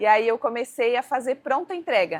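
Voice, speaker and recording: The speaker is a woman. Her pitch is high. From Balneário Camboriú, Santa Catarina, southern Brazil. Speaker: cooking teacher and entrepreneur. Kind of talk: casual interview chat.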